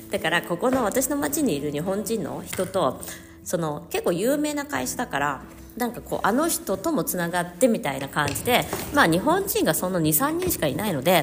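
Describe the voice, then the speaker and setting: Over noticeable background noise, a woman with a medium pitch speaks with very wide pitch swings. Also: moderate pace. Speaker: counselor. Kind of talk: casual solo podcast monologue. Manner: casual, rambling with fillers.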